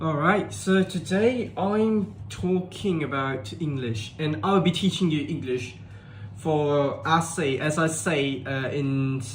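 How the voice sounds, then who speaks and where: With audible room echo, a man speaks at a very slow pace in a somewhat breathy, fairly high-pitched voice with lively intonation. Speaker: tutor. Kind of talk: tutorial. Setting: live stream.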